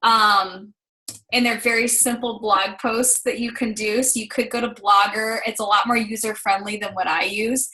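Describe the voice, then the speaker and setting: Bright and sharp in tone, a woman's voice sits fairly high in pitch. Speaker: business coach. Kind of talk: team call tutorial. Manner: fast.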